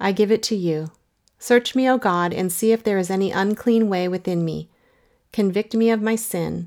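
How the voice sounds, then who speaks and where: A woman's unremarkable speaking voice at medium pitch, with ordinary pitch variation and a moderate pace, on a very clean recording with a silent background. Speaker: prayer resource narrator. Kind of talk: fervent spoken prayer read as an example. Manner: earnest, pleading, heartfelt; intensifying repetition, building urgency.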